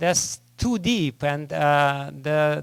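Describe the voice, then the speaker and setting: A man speaks at a very slow pace. He has a strong Russian accent. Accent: thick Russian. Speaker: spiritual teacher. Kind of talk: lecture. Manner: halting, many filler sounds.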